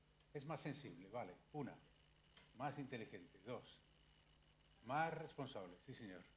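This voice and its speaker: Lively intonation marks this man's speech. Audible room echo surrounds him. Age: 60s. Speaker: psychiatrist. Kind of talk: public lecture. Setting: library talk with audience. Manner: animated.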